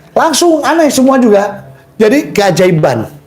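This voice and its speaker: An animated man speaks amid noticeable background noise and audible room echo. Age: 60s. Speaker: testimony giver at a charity prayer house. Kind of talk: testimony.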